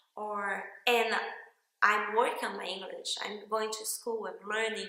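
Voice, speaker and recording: A woman speaks at a fairly slow pace in a fairly high pitch. Audible room echo surrounds her voice. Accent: non-native. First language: Portuguese. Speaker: workshop participant. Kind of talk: testimonial.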